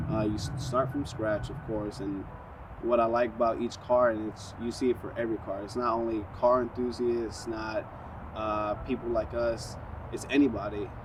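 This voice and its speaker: A man's medium-pitched voice in a New York accent, monotone and flat, at a moderate pace, with noticeable background noise and audible room echo. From New York, South Bronx. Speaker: car enthusiast. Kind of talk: interview. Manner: hesitant, many fillers.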